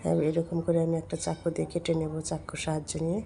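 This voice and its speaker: Her voice is somewhat breathy, a woman speaking at a fairly low pitch. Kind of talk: cooking tutorial.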